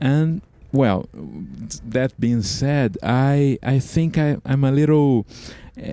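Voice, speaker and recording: With a Portuguese accent, a man speaks very slowly in a dark, mellow tone at a fairly high pitch. His pitch varies in an ordinary way, and he takes long, frequent pauses. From Brazil. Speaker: microtonal composer and musician. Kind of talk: interview. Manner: halting, many fillers and repeats.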